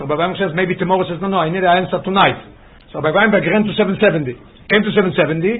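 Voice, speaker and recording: Amid audible room echo, a man with a high pitch talks at a very fast pace with fairly even intonation. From Israel. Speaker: rabbi teaching Torah class. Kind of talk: lecture with storytelling. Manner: halting, repeats words.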